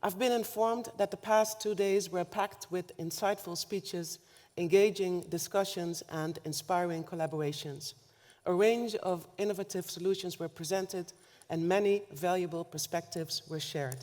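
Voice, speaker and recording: In a Dutch accent, a woman speaks at a moderate pace, her medium pitch showing ordinary variation. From Netherlands, north Limburg. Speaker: government official, keynote speaker. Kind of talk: keynote speech. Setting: conference stage with audience. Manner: formal.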